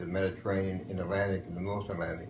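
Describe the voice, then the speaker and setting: A man with an American accent speaks in a very deep, low, somewhat breathy voice, with audible room echo. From western Pennsylvania. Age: 70s. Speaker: war veteran. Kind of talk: interview.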